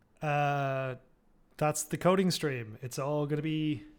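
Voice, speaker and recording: A fairly high-pitched man in a very clean recording with a silent background. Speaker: coding streamer. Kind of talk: casual live-stream chat while coding. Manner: quiet while reading documentation.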